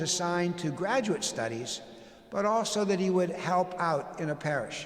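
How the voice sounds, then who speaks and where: In a room with audible echo, a man with a high pitch speaks at a fairly slow pace with ordinary pitch variation. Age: 60s. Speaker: pastor. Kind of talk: town hall presentation. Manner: halting, many fillers.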